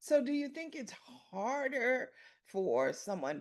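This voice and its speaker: A woman's very slow delivery, with vocal fry and very wide pitch swings. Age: 60s. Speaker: podcast host. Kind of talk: interview.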